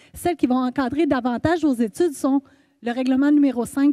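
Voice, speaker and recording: Her voice is high-pitched with ordinary pitch variation and a dark, mellow tone. The woman keeps a moderate pace. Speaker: university staff presenter. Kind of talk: orientation presentation. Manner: hesitant, many fillers.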